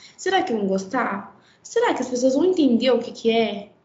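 A woman's high-pitched voice at a moderate pace, with audible room echo. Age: 20s. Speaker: fashion designer, atelier owner. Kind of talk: casual chat.

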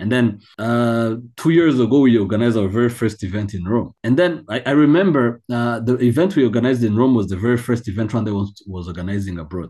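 A man with a dark, mellow tone and medium pitch talks very fast with lively intonation and hardly any pauses against a quiet background. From Rwanda. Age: 20s. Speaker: NGO founder and chairperson. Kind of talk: interview conversation.

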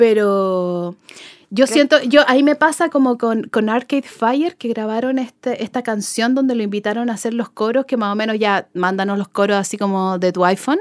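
A woman speaks in a plain, everyday voice at a fairly high pitch. Her pace is moderate and her pitch variation ordinary. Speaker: music fan, contributor. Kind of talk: casual chat.

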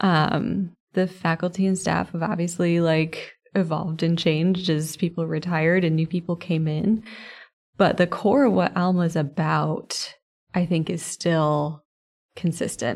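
An ordinary speaking voice at a fairly slow pace, on a very clean recording with a silent background. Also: woman, fairly low pitch for a woman. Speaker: college administrator. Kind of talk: interview.

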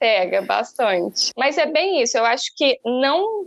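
A woman's high-pitched voice swings very widely in pitch at a fairly slow pace, dry and close with no echo. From interior of São Paulo state, Brazil. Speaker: nutritionist and entrepreneur. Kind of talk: casual interview.

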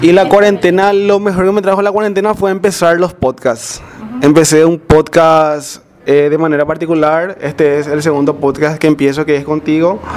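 In a plain, everyday voice, a man with fairly high pitch talks at a fairly quick pace with ordinary pitch variation. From Areguá, Paraguay. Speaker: podcast host, accountant. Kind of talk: casual chat.

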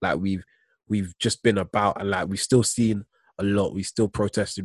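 A man with a British accent speaks at a fairly quick pace. His intonation is monotone and flat. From UK. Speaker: podcast host. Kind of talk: casual chat. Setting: video call.

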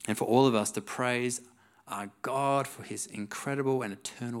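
The voice reads a text aloud. It is a natural reading voice.

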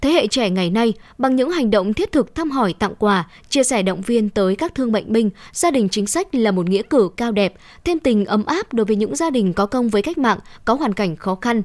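Against a silent background on a very clean recording, a woman talks at a very fast pace with lively intonation. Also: fairly high pitch for a woman. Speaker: news reader. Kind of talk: news reading.

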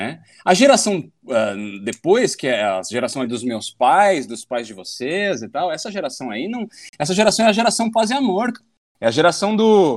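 A man's high-pitched voice with very wide pitch swings, at a moderate pace. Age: 30s. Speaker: muay thai instructor. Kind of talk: casual chat.

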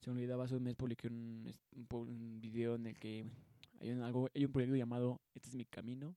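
This man has a medium-pitched voice with a dark, mellow tone. The sound is dry and close, with no echo. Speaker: podcast host. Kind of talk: casual monologue. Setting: home studio. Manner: halting.

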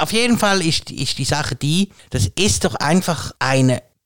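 The sound is dry and close, with no echo. A man speaks at a fairly high pitch and a very slow pace. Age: 40s. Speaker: podcast co-host. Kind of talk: casual chat.

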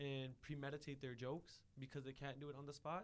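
At a fairly quick pace, a man talks in an ordinary speaking voice pitched fairly high. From Ontario, Canada. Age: 20s. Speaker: podcast producer. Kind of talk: casual chat. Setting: studio.

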